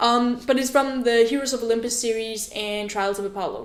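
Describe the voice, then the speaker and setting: Fairly quick speech from a woman with a fairly high pitch, plus audible echo from the room. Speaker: book vlogger. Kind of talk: casual vlog. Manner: animated, excitable.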